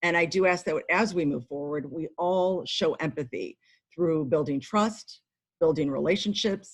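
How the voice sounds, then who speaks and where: This is a woman with a fairly low pitch. Her pitch varies in an ordinary way. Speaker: village council member and committee co-chair. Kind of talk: formal meeting introduction. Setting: video call. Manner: fast.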